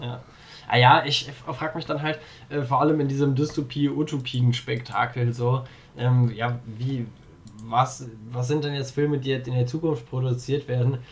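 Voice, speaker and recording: A somewhat breathy man speaks in a monotone, flat intonation. His pauses are long and frequent. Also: medium pitch for a man, moderate pace. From Germany, Darmstadt. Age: 20s. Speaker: volunteer in youth political organization. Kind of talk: casual chat.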